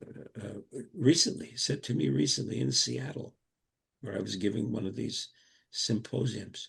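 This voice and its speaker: With an American accent, a man speaks at a fairly low pitch with vocal fry. His pitch swings very widely, at a moderate pace. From US, Brooklyn, New York. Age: 80s+. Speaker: Montessori educator. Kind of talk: interview. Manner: halting.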